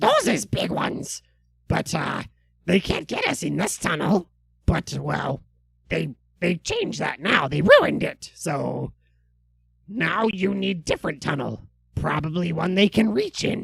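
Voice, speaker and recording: In a raspy, put-on character voice at middle pitch, the speaker moves at a fairly slow pace with long, frequent pauses. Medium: actual play. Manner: broken grammar, halting.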